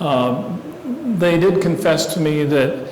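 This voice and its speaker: A man is speaking in a room with audible echo. Noticeable background noise runs under his voice. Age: 70s. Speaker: guest speaker on aviation. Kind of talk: talk to a club audience. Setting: meeting room with live audience.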